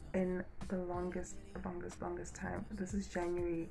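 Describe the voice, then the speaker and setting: The woman takes a fairly slow pace. Music is clearly heard behind her. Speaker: vlogger. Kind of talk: casual vlog chat. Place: home room. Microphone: phone near.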